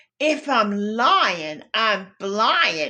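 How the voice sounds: A female-sounding, put-on character voice at a fairly high pitch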